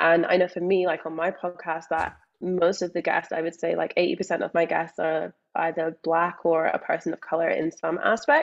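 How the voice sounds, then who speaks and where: In a Scottish accent, a woman speaks at a fairly low pitch with monotone, flat intonation. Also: moderate pace. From Scotland. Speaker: mindset coach. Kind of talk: interview.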